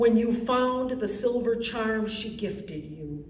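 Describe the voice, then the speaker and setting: With an American accent and lively intonation, a woman speaks very slowly in a fairly high pitch, amid noticeable background noise and audible room echo. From Wisconsin, Milwaukee. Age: 60s. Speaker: poet. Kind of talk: poetry reading. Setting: library event with audience.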